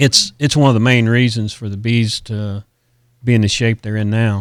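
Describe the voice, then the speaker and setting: In a very clean recording with a silent background, a man speaks at a moderate pace in a medium pitch. His intonation is monotone and flat, and the sound is dry and close with no echo. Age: 60s. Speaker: pipe fitter and beekeeper. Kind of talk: interview. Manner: halting, many fillers.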